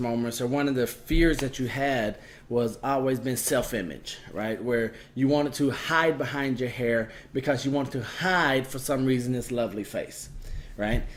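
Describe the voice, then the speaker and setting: A man with an ordinary speaking voice talks at a medium pitch and a fairly slow pace. His pitch variation is ordinary. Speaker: podcast host. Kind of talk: podcast interview. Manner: upbeat.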